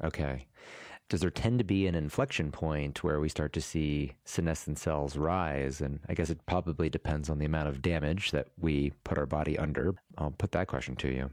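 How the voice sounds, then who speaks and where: A man talks at a moderate pace in a very deep, low voice with vocal fry, fairly even intonation and very even loudness. The recording is very clean, with a silent background. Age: 40s. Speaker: podcast host. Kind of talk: interview.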